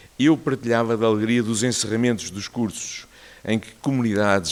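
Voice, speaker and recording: At a moderate pace, a man with an ordinary speaking voice talks at a fairly low pitch with ordinary pitch variation. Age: 60s. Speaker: cardiologist giving a talk. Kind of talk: personal testimony talk.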